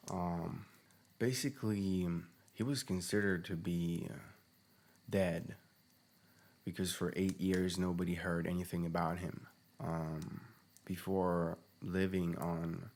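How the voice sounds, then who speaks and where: A man with a non-native accent and a very deep, low pitch, fairly slow with long, frequent pauses and fairly even intonation. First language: not English. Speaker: podcast host, human design analyst. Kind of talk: unscripted solo podcast monologue. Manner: halting, many fillers and restarts.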